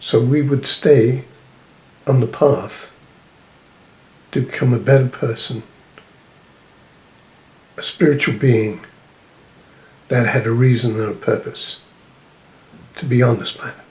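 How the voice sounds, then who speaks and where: An unremarkable speaking voice from a man, medium in pitch with ordinary variation, at a fairly slow pace. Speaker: self-described spiritual prophet and messenger. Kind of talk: spiritual sermon or message to camera. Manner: slow, measured, solemn.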